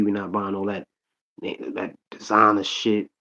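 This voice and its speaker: A man speaks in a strong New York accent. His pitch is fairly low. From Long Island, New York (Hempstead). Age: 40s. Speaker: rapper and actor. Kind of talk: casual chat. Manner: animated.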